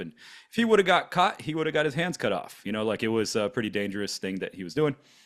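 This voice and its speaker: This man's voice sits fairly low. He talks very fast. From Florida, US (born in Germany, moved at six). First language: German. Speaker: podcast co-host. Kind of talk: casual chat. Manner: halting, many fillers.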